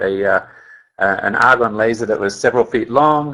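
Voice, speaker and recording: Speaking with an Australian accent at a medium pitch, a man has a bright, sharp tone and fairly even intonation over a quiet background. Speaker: company scientist. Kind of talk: webinar presentation. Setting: webinar call.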